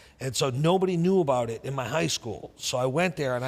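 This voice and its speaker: A man with a Boston accent, medium pitch, ordinary pitch variation and a fairly quick pace. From New England, Boston area. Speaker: entrepreneur and investor. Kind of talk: interview storytelling.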